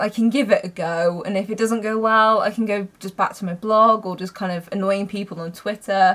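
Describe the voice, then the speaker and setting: A woman with a British accent, medium in pitch, at a fairly quick pace with fairly even intonation. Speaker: film reviewer. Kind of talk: casual vlog talk. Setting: home, mother's bedroom.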